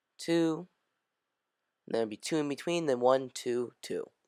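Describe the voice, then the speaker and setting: Someone mumbles in a very clean recording with a silent background. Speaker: gaming youtuber. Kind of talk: tutorial. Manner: mumbling; casual, rambling.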